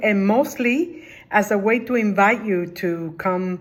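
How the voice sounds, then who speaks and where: Pitch variation stays ordinary throughout. The pace is fairly slow. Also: woman. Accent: Spanish. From Cuba, then New Jersey from age ten. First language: Spanish. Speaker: retired social work official. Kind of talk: personal career talk. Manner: halting, many filler words.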